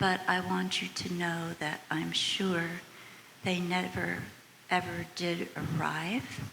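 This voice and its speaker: Someone speaks at a very slow pace with an American accent. Noticeable background noise and audible room echo fill the recording. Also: woman. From United States. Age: 80s+. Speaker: audience member. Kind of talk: audience question and comment.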